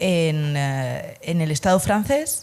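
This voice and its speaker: A woman with a Spanish accent and very wide pitch swings. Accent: Spanish (Spain) accent, noticeable. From Spain, Asturias. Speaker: Spanish teacher, emigrant. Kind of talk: casual interview chat.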